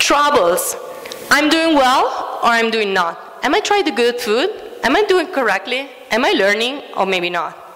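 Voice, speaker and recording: Very wide pitch swings and an Italian accent at a moderate pace, with long, frequent pauses, audible room echo and noticeable background noise. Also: woman, high pitch for a woman. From Italy. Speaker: food studies educator. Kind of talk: conference talk.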